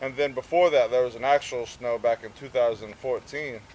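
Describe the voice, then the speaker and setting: Fairly even intonation and a moderate pace carry the speech over noticeable background noise. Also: man. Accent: Tennessee. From US South, Gatlinburg, Tennessee. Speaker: traveling salesman. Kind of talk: casual interview. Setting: outdoors at a festival.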